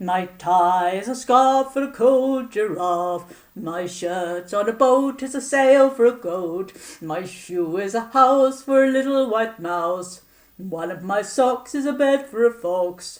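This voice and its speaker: A woman in a put-on character voice talks at a fairly slow pace with a fairly high pitch. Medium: read story. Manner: cheerful, kindly.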